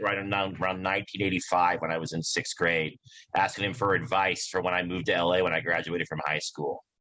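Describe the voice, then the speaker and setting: With an American accent, a man talks very fast in a very deep, low voice with a bright, sharp tone. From Nebraska, small towns. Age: 40s. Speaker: comedian. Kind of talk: casual chat.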